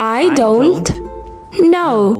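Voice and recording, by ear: With faint music in the background, a put-on character voice moves at a very slow pace, with a slightly mellow tone and lively intonation. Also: woman, high pitch for a woman.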